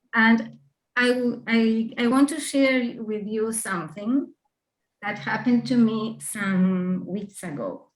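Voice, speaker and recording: Speaking very slowly with a Spanish accent, a woman has a fairly high, somewhat breathy voice and ordinary pitch variation. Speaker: author with Parkinson's disease. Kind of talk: presentation. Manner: halting.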